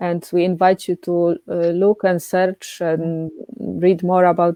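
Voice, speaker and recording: A woman with a Polish accent speaks at a very slow pace. Her fairly low voice stays monotone and flat. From Poland. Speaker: coaching therapist. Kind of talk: casual chat. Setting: live stream.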